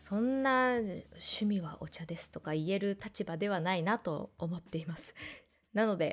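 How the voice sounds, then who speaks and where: The woman has a plain, everyday voice at medium pitch. She speaks at a fairly slow pace with ordinary pitch variation. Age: 30s. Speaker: art podcast host. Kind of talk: casual solo radio talk.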